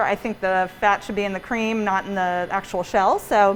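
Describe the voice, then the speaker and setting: A woman at a fairly quick pace. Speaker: pastry chef and bakery owner. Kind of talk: cooking demonstration class. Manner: soft-spoken; mumbling. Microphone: muffled by face mask.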